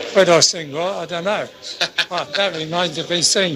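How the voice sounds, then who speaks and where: Noticeable background noise sits behind this recording. A man talks at a high pitch with ordinary pitch variation. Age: 90s. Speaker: D-Day veteran and Royal Navy gunner. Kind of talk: interview answer.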